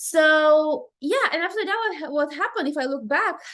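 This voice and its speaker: This woman's voice is high, with very wide pitch swings. She speaks with a non-native accent. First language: not English. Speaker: life coach, podcast host. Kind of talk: casual podcast monologue. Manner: fast.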